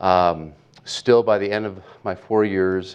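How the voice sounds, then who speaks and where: A man with a Pacific Northwest accent speaks at a very slow pace. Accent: general American (Pacific Northwest). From US Pacific Northwest (Portland, Oregon). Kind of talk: invited talk and Q&A at a Bible college chapel. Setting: college chapel with student audience.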